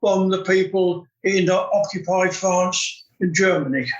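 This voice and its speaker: This man has a southern English accent and a high pitch. His intonation stays fairly even. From southern England, West Sussex. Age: 80s+. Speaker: retired bomb disposal expert. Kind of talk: interview conversation. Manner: halting.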